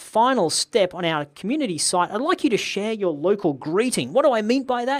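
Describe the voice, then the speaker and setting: A woman's lively intonation and fairly quick pace in an Australian accent, in a very clean recording with a silent background. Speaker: online course instructor. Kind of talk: tutorial. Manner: casual.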